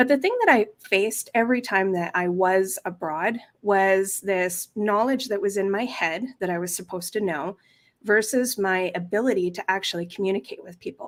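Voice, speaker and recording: A woman with a plain, everyday voice, medium pitch, ordinary pitch variation, a Canadian accent and a moderate pace. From western Canada (Kelowna, British Columbia). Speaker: language teacher and course creator. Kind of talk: interview.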